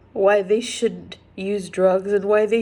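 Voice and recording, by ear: A woman speaks slowly at a medium pitch, with little pitch movement. Her tone is dark and mellow.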